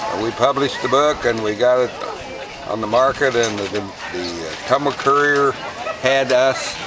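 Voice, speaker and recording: A man talks at a medium pitch while noticeable background noise plays around him. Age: 80s+. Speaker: farmer and former tire businessman. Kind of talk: casual interview. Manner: halting.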